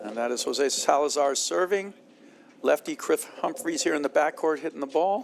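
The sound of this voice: At a moderate pace, a man speaks with a fairly high pitch, ordinary pitch variation and vocal fry.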